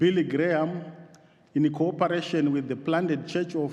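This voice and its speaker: A man with a high pitch and an African accent speaks at a fairly slow pace. Audible room echo surrounds his voice. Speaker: theological college principal. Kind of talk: formal address to church assembly. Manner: halting.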